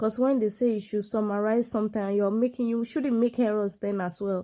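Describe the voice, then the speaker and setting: A woman's dark, mellow tone at a fairly quick pace, ordinary pitch variation, on a very clean recording with a silent background. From Nigeria, southwest (Yoruba). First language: Yoruba. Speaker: medical doctor and English tutor. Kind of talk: tutorial.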